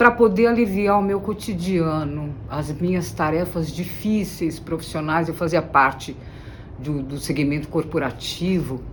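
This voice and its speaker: A woman with a fairly low pitch and ordinary pitch variation speaks at a fairly slow pace, with audible room echo around her. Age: 60s. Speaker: singer-songwriter. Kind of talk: interview monologue.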